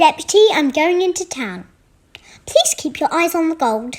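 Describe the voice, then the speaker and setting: Using a put-on character voice, a woman squeaks at an extremely high pitch with lively intonation and a confident, playful tone at a moderate pace. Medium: read story.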